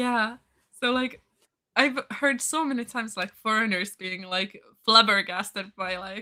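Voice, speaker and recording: A woman speaks at a fairly high pitch and fairly slow pace, her bright, sharp tone showing ordinary pitch variation and big swings in loudness. The recording is very clean, with a silent background. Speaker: language channel volunteer. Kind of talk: casual chat.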